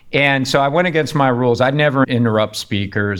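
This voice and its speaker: An unremarkable speaking voice from a man with an American accent, at a fairly quick pace with ordinary pitch variation. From US Northeast (Pittsburgh, Rochester NY). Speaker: cybersecurity company founder and CEO. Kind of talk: interview, personal story.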